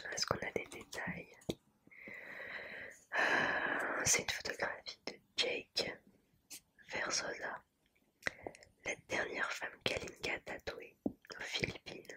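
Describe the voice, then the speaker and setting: A woman whispers very slowly, with long, frequent pauses. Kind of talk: ASMR rambling, whispered showing of a postcard collection. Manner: soft, hesitant, with frequent fillers.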